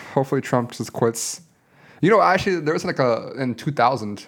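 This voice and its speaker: An unremarkable speaking voice, with lively intonation at a fairly quick pace. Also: man, very clean recording, silent background. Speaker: podcast co-host. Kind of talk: casual chat.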